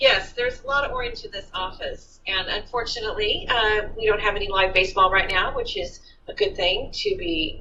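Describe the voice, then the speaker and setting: Recorded with audible room echo and noticeable background noise, a woman talks at a moderate pace. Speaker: city librarian. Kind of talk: interview. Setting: office. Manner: loud.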